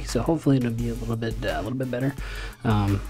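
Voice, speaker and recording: Music plays in the background. A man is speaking. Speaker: League of Legends gameplay commentator. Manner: conversational, filler-heavy (um, uh).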